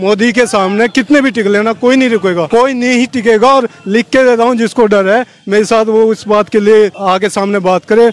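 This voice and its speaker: A man with a high-pitched voice speaks at a moderate pace with hardly any pauses. His loudness stays very even, and the sound is dry and close with no echo. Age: 30s. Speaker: interviewee, member of public. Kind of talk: street interview. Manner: animated.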